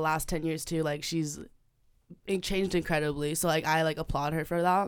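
A woman speaks in a normal speaking voice at a moderate pace, her pitch fairly low and her intonation fairly even. The recording is very clean, with a silent background. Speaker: university student. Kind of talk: casual chat. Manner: casual, filler-heavy speech.

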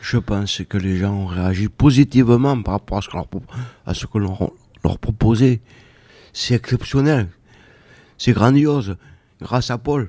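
Speaking at a fairly slow pace with long, frequent pauses, a man uses a dark, mellow, medium-pitched voice with ordinary pitch variation, recorded dry and close with no echo. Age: old. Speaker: day centre member, retired, poet. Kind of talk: radio interview; poetry reading. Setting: radio studio. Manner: halting.

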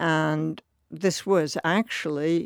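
An American accent with ordinary pitch variation, in a dry, close sound with no echo. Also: woman. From US Northeast, New Jersey. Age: 80s. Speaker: college alumna. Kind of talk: oral history conversation.

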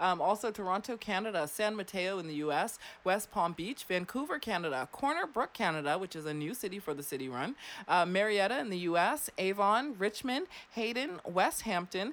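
A woman's animated, medium-pitched voice with a Floridian accent and lively intonation at a moderate pace, in a very clean recording with a silent background. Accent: Florida American. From US South. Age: 30s. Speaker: radio host. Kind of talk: casual chat. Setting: studio.

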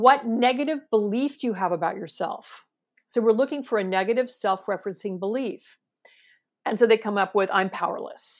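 Lively intonation carries this woman's fairly high voice, delivered in a Californian accent. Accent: Californian American. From US West Coast, San Francisco Bay Area. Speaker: clinical psychologist. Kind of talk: interview.

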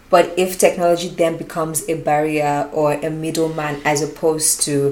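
Over noticeable background noise, a woman with a very deep, low pitch speaks at a moderate pace in a monotone, flat manner. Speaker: podcast co-host. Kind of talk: casual chat.

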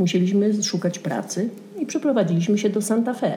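Someone speaks at a moderate pace with lively intonation. It is an ordinary speaking voice. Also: woman. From southern Poland, Częstochowa. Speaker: Polish immigrant. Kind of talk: casual chat.

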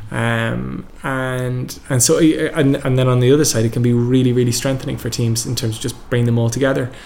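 A man with an Irish accent talks at a fairly quick pace and medium pitch, with monotone, flat intonation and hardly any pauses. Audible room echo and noticeable background noise fill the recording. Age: 30s. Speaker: entrepreneur and event organiser. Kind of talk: interview. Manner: hesitant, many fillers.

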